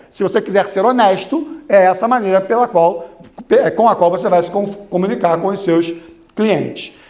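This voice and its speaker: Noticeable background noise and audible room echo surround a man with a high voice. He speaks at a moderate pace in an animated tone with ordinary pitch variation. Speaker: lawyer and lecturer. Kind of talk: conference talk. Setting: stage with audience.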